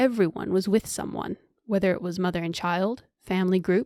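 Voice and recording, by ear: The background stays quiet. A speaker is reading aloud in a natural voice.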